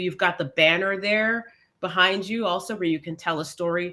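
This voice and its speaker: This woman talks at a fairly quick pace in a fairly low pitch. Her tone is bright and sharp, and her pitch varies in an ordinary way. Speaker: LinkedIn branding mentor. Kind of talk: online mentoring talk. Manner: fast.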